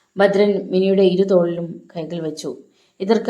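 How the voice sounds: Fairly even intonation in a natural reading voice, set against quiet surroundings.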